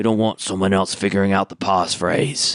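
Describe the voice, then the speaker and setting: A man's raspy, fairly low put-on character voice. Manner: lower voice.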